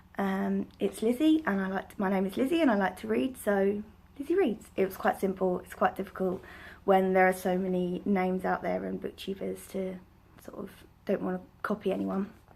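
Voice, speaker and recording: An unremarkable speaking voice from a woman, medium in pitch, with ordinary pitch variation and a fairly quick pace. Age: 20s. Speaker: book vlogger. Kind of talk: casual vlog monologue.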